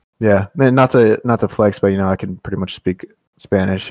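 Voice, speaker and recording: A man speaks at a very fast pace. His voice is fairly low, with fairly even intonation. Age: 20s. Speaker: podcast host. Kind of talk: casual chat.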